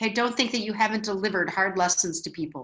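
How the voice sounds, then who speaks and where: A medium-pitched woman's voice with a Wisconsin accent and ordinary pitch variation. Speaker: spiritual teacher. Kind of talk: online class talk reading viewer comments. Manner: conversational, frequent fillers.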